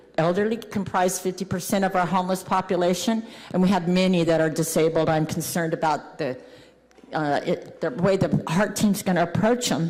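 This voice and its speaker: A woman at medium pitch with ordinary pitch variation, a fairly quick pace and very even loudness, over noticeable background noise. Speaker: homeless advocate. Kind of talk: public comment at council meeting. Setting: city council meeting.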